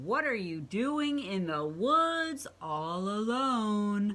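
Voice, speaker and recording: A woman's put-on character voice at a medium pitch, very slow in pace with very wide pitch swings. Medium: read story. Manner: growling.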